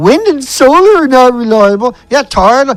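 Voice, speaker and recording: A man with a Newfoundland accent and lively intonation, moderate pace, noticeable background noise. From Newfoundland, Canada. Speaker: online show host. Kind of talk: ranting monologue. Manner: loud; animated.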